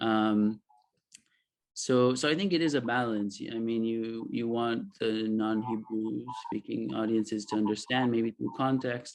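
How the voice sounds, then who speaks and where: A man with a slight Israeli accent speaks at medium pitch with fairly even intonation. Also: fairly slow pace. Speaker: author. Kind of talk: panel discussion. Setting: video call. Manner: halting.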